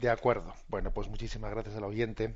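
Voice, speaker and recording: This man's fairly quick delivery sits at a medium pitch with monotone, flat intonation. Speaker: radio catechism host, priest. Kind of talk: radio call-in commentary.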